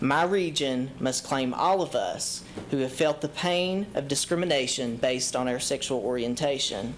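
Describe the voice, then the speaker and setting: A man with an Eastern Kentucky accent talks at a moderate pace with hardly any pauses, his pitch fairly high with ordinary variation. His loudness stays very even, and audible room echo surrounds him. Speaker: public commenter. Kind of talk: prepared public speech. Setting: city council chamber with audience. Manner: formal.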